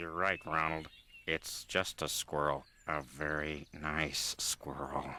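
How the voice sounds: A man performs a cartoonish character voice with a very deep, low pitch. He speaks at a fairly slow pace.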